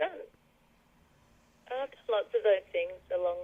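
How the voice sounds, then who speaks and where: A woman talks with an Australian accent. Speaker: singer and songwriter. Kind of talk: radio interview.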